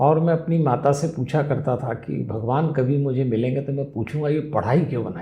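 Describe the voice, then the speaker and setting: With vocal fry and a fairly high pitch, a man speaks with ordinary pitch variation and hardly any pauses. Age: 60s. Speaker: spiritual speaker and life management guru. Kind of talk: interview.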